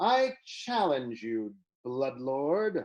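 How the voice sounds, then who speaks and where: A drawling, put-on character voice sits at a low-to-middle pitch. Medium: read story. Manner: drawling, exaggeratedly drunk.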